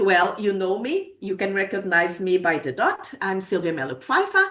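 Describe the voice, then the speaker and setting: Someone speaks with a Portuguese accent against a quiet background. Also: woman. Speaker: academic researcher presenting a project. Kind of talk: webinar presentation. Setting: online webinar. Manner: hesitant, with self-corrections.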